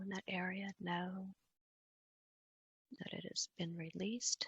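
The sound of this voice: A woman's medium-pitched voice with a husky, rough edge and a fairly bright tone, dry and close with no echo.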